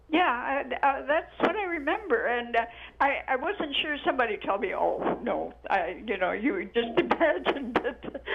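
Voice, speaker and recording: Noticeable background noise can be heard. The speech moves at a moderate pace. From New Mexico. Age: 80s+. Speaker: caller. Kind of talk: phone-in conversation. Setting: phone call. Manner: halting.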